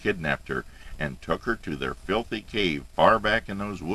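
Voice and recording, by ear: Lively intonation fills this reading aloud in a natural voice.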